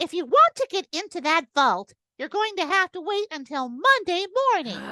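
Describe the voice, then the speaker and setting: A woman's put-on character voice at an extremely high pitch, with very wide pitch swings and a moderate pace. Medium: audio drama. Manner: deadpan, blunt.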